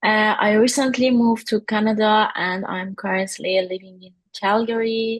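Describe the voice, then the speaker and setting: Somewhat breathy and fairly even in intonation, a woman speaks with an Iranian accent. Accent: Persian (Iranian). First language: Persian. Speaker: workshop participant, UX designer. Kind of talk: self-introduction. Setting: video call. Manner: halting, many fillers.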